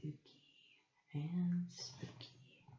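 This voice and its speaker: The voice is soft-spoken and whispering. It moves at a very slow pace. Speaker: ASMR creator. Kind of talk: ASMR show-and-tell. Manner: whispered, soft-spoken.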